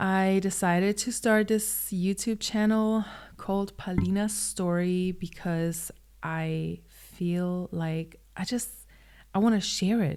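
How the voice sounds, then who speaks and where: A woman at a very slow pace, medium in pitch with fairly even intonation and a German accent. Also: very clean recording, silent background. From Germany. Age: 20s. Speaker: vlogger. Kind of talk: personal vlog monologue. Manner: hesitant, many fillers.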